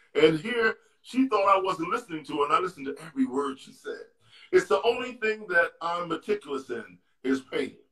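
A man with an American accent speaks in a high pitch at a fairly quick pace. His intonation is lively and his loudness swings widely. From New York City, Harlem. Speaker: retired basketball player. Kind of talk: interview storytelling. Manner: halting.

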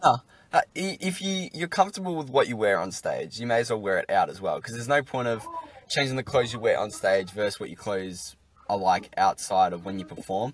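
With an Australian accent, a man speaks at a fairly quick pace and medium pitch, his pitch swinging very widely against noticeable background noise. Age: young. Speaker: podcast host. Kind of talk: casual interview.

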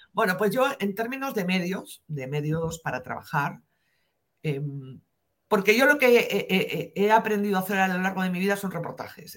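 Using an ordinary speaking voice, a woman talks at medium pitch and a moderate pace. Her intonation is lively. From northern Spain, near the French border. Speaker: investigative journalist. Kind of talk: interview.

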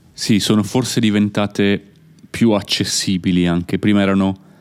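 This man talks at a moderate pace. His pitch is fairly low. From Italy. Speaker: podcast host, Italian teacher. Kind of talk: casual interview for learners. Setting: recording at family home in Italy.

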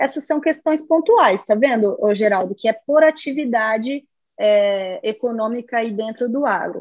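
A woman uses an ordinary speaking voice, fairly high in pitch, with ordinary pitch variation. Her pace is fairly slow. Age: 30s. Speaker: lawyer. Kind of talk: interview.

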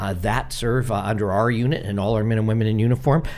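A man speaks at a fast pace, his fairly low voice held to a fairly even intonation.

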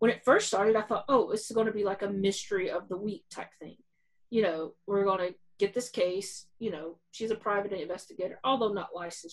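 A woman with a normal speaking voice talks at a fairly quick pace. Her medium pitch shows ordinary variation. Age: 40s. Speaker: podcast co-host. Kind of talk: casual chat.

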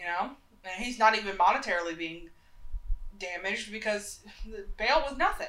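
A woman with an American accent at medium pitch, ordinary pitch variation, big swings in loudness, moderate pace with long, frequent pauses, and noticeable background noise. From US South, Charlotte, North Carolina. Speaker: podcast co-host. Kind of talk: casual chat.

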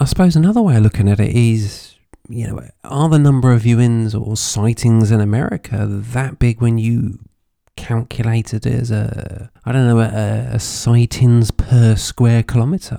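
A British accent marks this man's speech, which has a medium pitch, a dark, mellow tone, fairly even intonation and a moderate pace. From UK. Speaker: podcast host. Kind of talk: unscripted solo podcast monologue. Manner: frequent repetitions and fillers.

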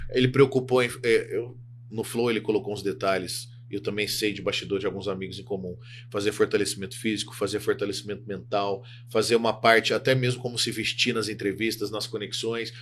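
A man at a fairly quick pace, in a monotone, flat delivery. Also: medium pitch for a man. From Minas Gerais, Brazil. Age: 30s. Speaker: sports psychologist. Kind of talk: casual interview chat.

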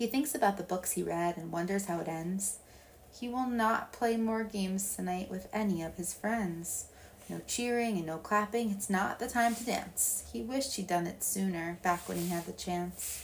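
A woman's medium-pitched voice carries a warm, gentle tone, somewhat breathy, with ordinary pitch variation. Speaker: storytime reader. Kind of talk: bedtime story read aloud in rhyming verse. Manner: soft, warm, gentle and soothing, slow unhurried pacing; sing-song rhythm that leans into the rhymes.

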